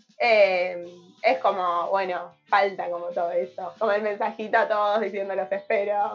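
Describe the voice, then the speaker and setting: A woman speaks at a fairly slow pace with medium pitch and fairly even intonation. Noticeable background noise runs under her voice. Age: 20s. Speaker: radio host. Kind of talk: casual chat.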